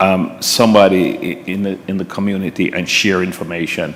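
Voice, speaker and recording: Speaking at a moderate pace, a man with a very deep, low voice keeps a monotone, flat intonation over noticeable background noise. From Jamaica. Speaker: police officer. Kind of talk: panel discussion. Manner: halting, many repetitions.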